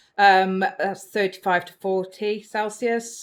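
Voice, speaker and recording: Her accent is British. The woman's voice sits at a medium pitch. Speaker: reptile keeper and video creator. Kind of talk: tutorial.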